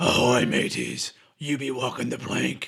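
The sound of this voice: Using a raspy, put-on character voice, a man speaks at a medium pitch. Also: moderate pace.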